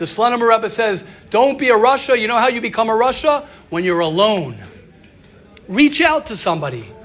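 With noticeable background noise behind him, a man speaks at a high pitch with lively intonation. His speech has long, frequent pauses. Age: 40s. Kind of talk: inspirational talk with group discussion. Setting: group session with live audience. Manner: repetitive, stumbling phrasing.

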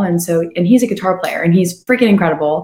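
A woman speaks at a medium pitch with lively intonation. Her voice is somewhat breathy. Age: young. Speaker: singer-songwriter. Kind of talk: casual interview chat. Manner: fast, run-on.

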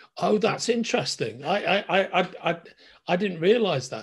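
Here a man talks with a Liverpool accent. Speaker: podcast host. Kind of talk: casual interview.

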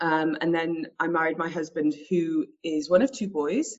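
A woman talks in an ordinary speaking voice. Her pitch is fairly low, with ordinary pitch variation. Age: 30s. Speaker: radio host. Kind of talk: casual chat.

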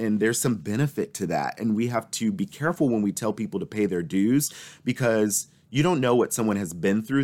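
A man with a plain, everyday voice, fairly low in pitch, with lively intonation, on a very clean recording with a silent background. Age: 20s. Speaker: nonprofit executive. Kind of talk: interview conversation.

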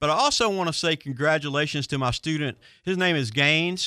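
A man's fairly high, bright, sharp voice at a fairly quick pace, with ordinary pitch variation. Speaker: marine service instructor and show expert. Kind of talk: call-in radio show chat. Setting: radio studio.

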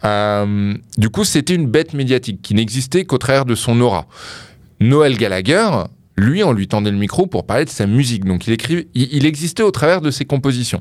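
The man has a normal speaking voice at medium pitch, with lively intonation. He keeps a moderate pace in a very clean recording with a silent background. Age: 30s. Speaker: music specialist. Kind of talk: casual chat. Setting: studio.

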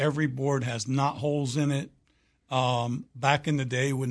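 A man's fairly high, somewhat breathy voice, fairly slow and fairly even in intonation, against a quiet background. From Oklahoma. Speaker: roofing contractor. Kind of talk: radio interview.

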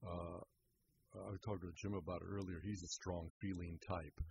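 A man speaks at a moderate pace in a very deep, low pitch, somewhat breathy, with monotone, flat intonation. The sound is dry and close, with no echo. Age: 70s. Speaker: therapist. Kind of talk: radio interview. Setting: studio.

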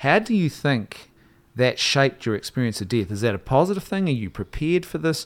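A man's medium-pitched voice with a New Zealand accent, very wide pitch swings and a fairly quick pace, on a very clean recording with a silent background. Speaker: podcast host. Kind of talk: casual discussion; donation appeal. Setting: studio in Wellington.

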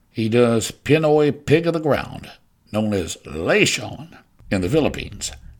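The speaker has a Southern US accent and lively intonation. The pace is fairly slow. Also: man. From US South. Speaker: podcast host. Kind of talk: scripted narration.

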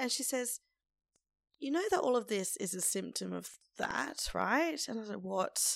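In an Australian accent, a woman speaks fairly slowly on a very clean recording with a silent background. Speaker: podcast host. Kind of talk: casual monologue.

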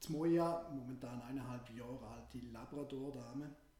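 Amid audible room echo, a man speaks at a medium pitch with ordinary pitch variation and a dark, mellow, somewhat breathy tone. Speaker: business consultant and podcast co-host. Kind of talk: casual podcast chat.

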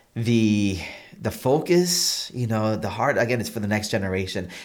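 A man talks at a fairly low pitch, with audible echo in the room. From Massachusetts (Holyoke), born in Puerto Rico. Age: 40s. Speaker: pastor. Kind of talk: interview about personal faith story.

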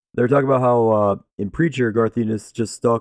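Against a quiet background, the speaker talks at a fairly quick pace with fairly even intonation and a dry, close sound with no echo. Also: man. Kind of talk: casual chat. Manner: profane, joking.

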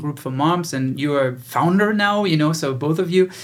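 Speaking at a moderate pace, a man with a German accent has a fairly high pitch. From Germany. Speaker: podcast host and business founder. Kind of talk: casual interview.

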